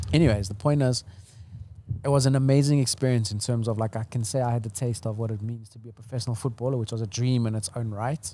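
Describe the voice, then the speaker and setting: A man talks at a very fast pace in a dark, mellow tone with ordinary pitch variation. The sound is dry with no echo, over light background noise. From South Africa, Portuguese family. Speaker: entrepreneur and brand builder; podcast guest. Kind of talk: casual interview chat. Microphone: studio mic.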